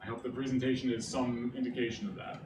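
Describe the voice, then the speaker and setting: With a northeastern Pennsylvania accent, a man speaks at a moderate pace and medium pitch, with audible room echo and noticeable background noise. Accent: northeastern Pennsylvania American. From Scranton, northeastern Pennsylvania. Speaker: graphic designer and pixel artist. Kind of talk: presentation. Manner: casual, filler-heavy (uh, like).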